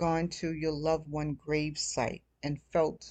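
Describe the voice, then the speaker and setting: A woman speaks at a fairly slow pace, her pitch fairly low. It is a plain, everyday voice. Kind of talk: casual personal talk to camera. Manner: soft-spoken, reflective.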